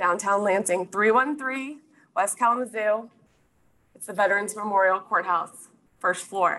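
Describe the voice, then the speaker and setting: A woman's medium-pitched voice with a bright, sharp tone, ordinary pitch variation, big swings in loudness, and long, frequent pauses. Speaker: county court clerk and lawyer. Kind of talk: presentation to a professional audience. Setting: live audience with slides.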